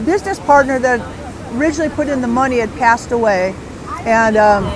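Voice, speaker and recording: In an American accent, a woman with a high pitch talks at a moderate pace with long, frequent pauses, with audible room echo and crowd noise in the background. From Southern California. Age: 60s. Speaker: retired bodyboard company founder. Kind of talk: podcast interview. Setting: outdoor beach event.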